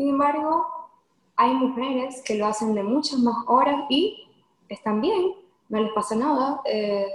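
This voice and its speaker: The intonation is lively. The pace is very slow. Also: woman. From Venezuela. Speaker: lawyer and nutrition coach. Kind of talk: podcast interview.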